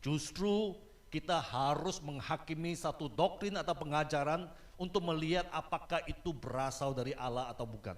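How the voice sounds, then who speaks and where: Fairly slow and fairly high, this man has a plain, everyday voice with ordinary pitch variation. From Malaysia. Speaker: guest preacher. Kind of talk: sermon.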